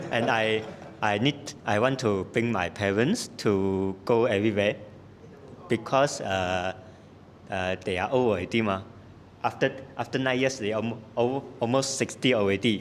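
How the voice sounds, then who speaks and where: At a moderate pace and medium pitch, a man talks with ordinary pitch variation and long, frequent pauses. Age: 20s. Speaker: workshop participant. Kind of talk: self-introduction in a training session. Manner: halting.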